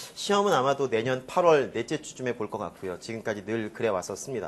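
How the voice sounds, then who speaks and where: Here a man talks at a fairly quick pace and medium pitch. His intonation is lively. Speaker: organic chemistry instructor. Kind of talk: lecture. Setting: classroom with students.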